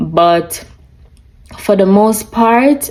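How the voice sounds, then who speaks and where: Speaking very slowly in a Jamaican accent, the voice comes through noticeable background noise. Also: woman. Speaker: lifestyle vlogger. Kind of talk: casual chat. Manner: animated.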